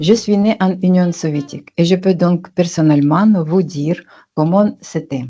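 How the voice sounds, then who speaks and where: In a fairly low, dark and mellow voice, a woman speaks fairly slowly with ordinary pitch variation. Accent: Russian. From Russia, Tatarstan. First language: Russian (speaking French). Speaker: tax and business consultant, channel host. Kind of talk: channel introduction monologue.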